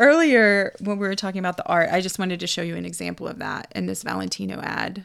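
Pauses are hardly present. The woman's delivery is very fast. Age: 40s. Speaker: podcast co-host and photographer. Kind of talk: casual chat.

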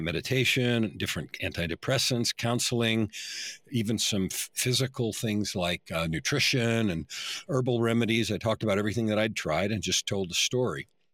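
At a moderate pace, a man with a normal speaking voice talks at a fairly low pitch with ordinary pitch variation in a very clean recording with a silent background. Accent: American. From San Francisco Bay Area, US. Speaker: author and life coach. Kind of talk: interview testimony.

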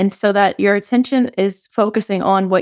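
Speaking at a fairly slow pace, a woman uses an ordinary speaking voice pitched in the medium range. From US South, southern Louisiana. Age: 30s. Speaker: life coach and behavior analyst. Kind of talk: casual chat.

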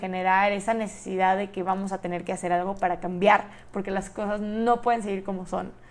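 Flat, monotone intonation from a woman at a mid-range pitch. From Mexico, Monterrey, Nuevo León. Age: young. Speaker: podcast host, university student. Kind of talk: solo podcast monologue.

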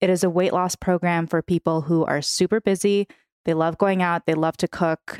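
Her American accent comes through as a woman with a fairly low pitch speaks at a moderate pace with very even loudness, the sound dry and close with no echo on a very clean recording with a silent background. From San Francisco. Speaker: food creator and weight loss coach. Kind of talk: casual chat. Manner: animated.

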